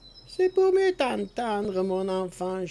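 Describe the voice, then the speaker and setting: In a put-on character voice at a middle pitch, the speaker goes at a fairly slow pace. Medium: read story. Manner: sly, falsely sweet.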